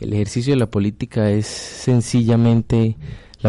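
The tone of this man's fairly low voice is dark and mellow. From Colombia, Floridablanca (Santander). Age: 20s. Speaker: council candidate. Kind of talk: radio panel discussion.

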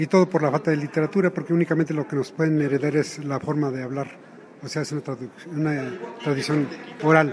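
Noticeable background noise sits behind a man who talks at a very fast pace with a fairly high pitch and ordinary pitch variation. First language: Otomi (Hñähñu) (speaking Spanish). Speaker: writer and literary translator. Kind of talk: interview. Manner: halting.

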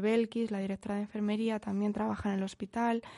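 A woman's fairly high voice carries a dark, mellow tone in a flat monotone. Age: 20s. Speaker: nurse, international volunteer. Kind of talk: interview.

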